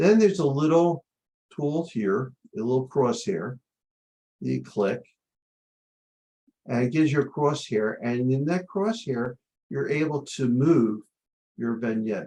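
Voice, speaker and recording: A man's dark, mellow tone at a medium pitch, with lively intonation, a fairly slow pace and long, frequent pauses. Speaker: photography instructor. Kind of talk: tutorial.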